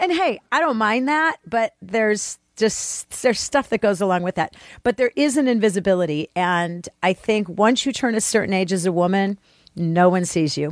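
A woman speaks at medium pitch in an ordinary speaking voice, captured in a very clean recording with a silent background. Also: lively intonation, moderate pace, dry, close sound with no echo. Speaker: podcast producer and co-host. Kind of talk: casual chat.

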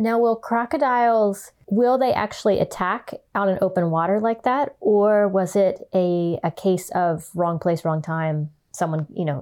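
A woman's plain, everyday voice, medium in pitch and fairly slow in pace, on a very clean recording with a silent background. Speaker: horse trainer and podcast host. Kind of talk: casual interview conversation.

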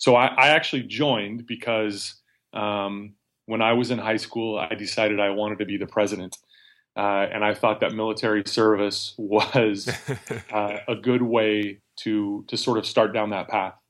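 A man with an American accent speaks in a monotone, flat way at a moderate pace and fairly low pitch, in a very clean recording with a silent background. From Nevada. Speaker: army veteran and lawyer. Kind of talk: interview conversation. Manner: halting, many fillers.

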